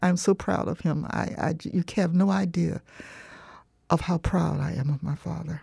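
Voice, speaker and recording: This voice has a dark, mellow tone and vocal fry, moving at a moderate pace with fairly even intonation. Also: woman, fairly low pitch for a woman. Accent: American. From US South, southwest Florida (Punta Gorda). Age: 70s. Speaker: author and lecturer. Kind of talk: interview. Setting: studio.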